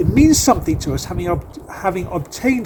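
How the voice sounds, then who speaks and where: There is noticeable background noise as a man in a Manchester accent talks at a fairly quick pace. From northern England, Manchester. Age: 50s. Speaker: accountant and election candidate. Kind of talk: campaign video address.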